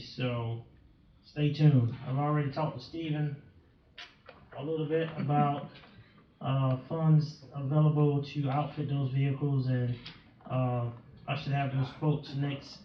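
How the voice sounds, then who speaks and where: With noticeable background noise and audible room echo, a man with a fairly high pitch speaks in a monotone, flat intonation at a moderate pace, leaving long, frequent pauses. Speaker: police chief. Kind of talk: council meeting report. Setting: city council meeting.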